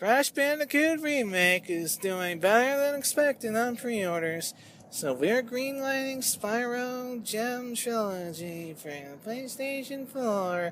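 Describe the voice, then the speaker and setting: A female-sounding put-on character voice, fairly high-pitched and enthusiastic in tone, at a fairly slow pace with hardly any pauses, over clear background noise. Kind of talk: corporate hype announcement. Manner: overly enthusiastic, grating.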